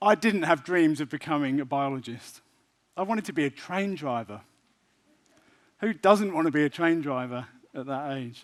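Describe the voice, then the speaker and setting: On a very clean recording with a silent background, a man with a British accent speaks at a moderate pace with a fairly high pitch, lively intonation and long, frequent pauses. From UK. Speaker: professor. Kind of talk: public lecture. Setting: stage with audience.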